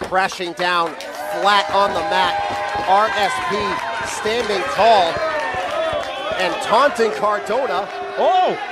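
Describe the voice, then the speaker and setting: Loud background noise sits under a dry recording with no echo. The speech moves at a very slow pace, broken by long, frequent pauses. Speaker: wrestling commentator. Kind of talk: wrestling commentary. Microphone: headset.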